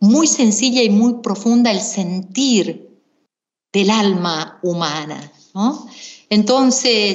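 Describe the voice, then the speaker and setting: With ordinary pitch variation, a woman with an unremarkable speaking voice talks at medium pitch. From Misiones, Argentina. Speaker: singer-songwriter and singing teacher. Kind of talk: interview.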